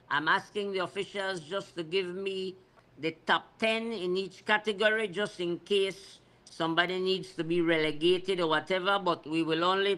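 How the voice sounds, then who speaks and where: A man with a high pitch uses a raised, projected voice with a bright, sharp tone. His intonation is fairly even and his pace moderate. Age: 60s. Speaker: cycling race organizer. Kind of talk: radio talk show interview.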